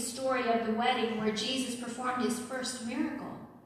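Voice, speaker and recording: A woman talks in a high, flat monotone. There is audible room echo and noticeable background noise. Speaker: preacher and schoolteacher. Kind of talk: sermon.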